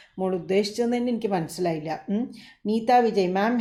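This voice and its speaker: With a plain, everyday voice, a woman talks at medium pitch, and her pitch varies in an ordinary way. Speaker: doctor answering viewer questions. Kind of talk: live Q&A. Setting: live stream. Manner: warm, conversational.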